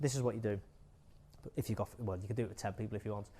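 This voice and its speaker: In a very clean recording with a silent background, a man speaks. His tone is animated. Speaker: marketing agency speaker at recruitment event. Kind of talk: conference talk. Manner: casual, animated.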